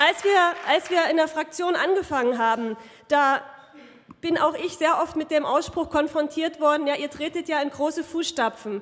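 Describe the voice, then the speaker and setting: A woman talks at a moderate pace. Her pitch is high, with ordinary pitch variation. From Saxony. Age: 30s. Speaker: politician. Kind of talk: campaign speech. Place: hall. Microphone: podium.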